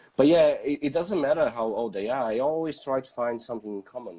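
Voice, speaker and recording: The voice has a non-native accent. It belongs to a man. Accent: foreign. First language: not English. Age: 30s. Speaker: photographer. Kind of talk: casual chat. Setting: live video stream. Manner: halting, many fillers.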